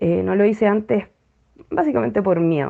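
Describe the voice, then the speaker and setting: A woman speaks with a Chilean accent at a medium pitch. Her pace is moderate, with ordinary pitch variation. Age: 30s. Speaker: former church member sharing experience. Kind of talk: personal testimony. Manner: hesitant, many fillers.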